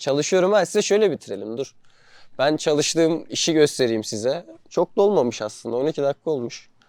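This man talks at a fairly quick pace in an ordinary speaking voice, fairly high in pitch, with lively intonation. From Turkey. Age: 20s. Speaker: vlogger. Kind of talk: casual vlog monologue.

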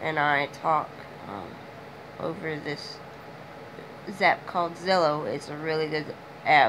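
The speech moves at a very slow pace with ordinary pitch variation, over noticeable background noise. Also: woman. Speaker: vlogger. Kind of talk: personal video diary. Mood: sad, subdued. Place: home room.

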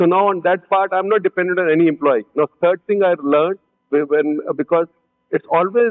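Fairly even intonation marks this man's very fast delivery. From India. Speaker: company CEO, entrepreneur; panelist. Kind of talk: panel discussion. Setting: conference stage with audience. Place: stage.

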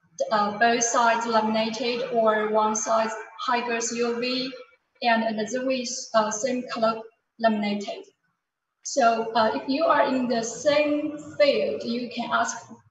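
Amid light background noise and audible room echo, a woman speaks at a fairly slow pace with fairly even intonation. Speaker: sales manager. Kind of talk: business presentation. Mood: calm, promotional. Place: office. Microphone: webcam.

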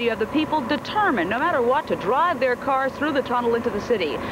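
A woman talks at a fairly quick pace. Background noise is clearly audible.

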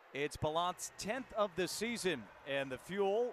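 A high-pitched man is heard through noticeable background noise. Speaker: hockey play-by-play announcer. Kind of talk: live hockey play-by-play commentary in a highlight reel.

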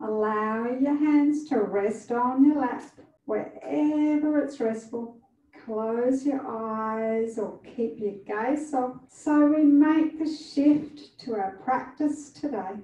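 A woman's high, dark and mellow voice at a very slow pace, with ordinary pitch variation and audible room echo. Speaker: yoga instructor. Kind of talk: guided yoga instruction. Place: studio. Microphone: camera far.

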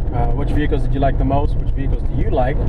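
Against loud background noise, a man talks at a very fast pace. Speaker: vlogger. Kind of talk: casual vlog chat. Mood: upbeat, pleased. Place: car. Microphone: phone near.

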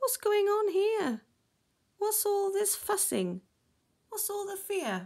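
A woman's put-on character voice at an extremely high pitch and slow pace, with big pitch swings, vocal fry and a slightly mellow tone

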